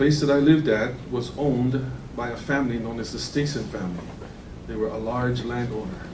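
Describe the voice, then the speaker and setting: Amid noticeable background noise and audible room echo, a man with a Hawaiian accent talks at a fairly quick pace with a medium pitch and ordinary pitch variation. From Hawaii (Kauai). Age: 60s. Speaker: land use commissioner. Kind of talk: public hearing deliberation statement. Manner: formal.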